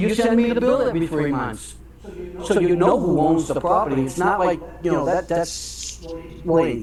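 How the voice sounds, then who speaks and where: A man speaks at a high pitch with lively intonation. Room echo is audible, and background noise is noticeable. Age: 60s. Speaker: property owner commenting at city council. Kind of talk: public comment. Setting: city council meeting. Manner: halting.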